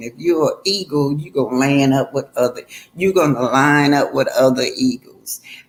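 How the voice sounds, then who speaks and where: Her tone is animated as this woman speaks in a very deep, low voice. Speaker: online commentator, retired teacher. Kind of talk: livestream commentary rant. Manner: animated, emphatic.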